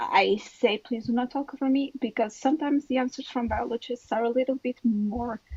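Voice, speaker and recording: With a non-native accent, the speaker keeps a moderate pace and fairly even intonation in a dry, close sound with no echo, amid noticeable background noise. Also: woman. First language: not English. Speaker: biologist in debate. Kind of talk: heated debate. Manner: halting, repeats words.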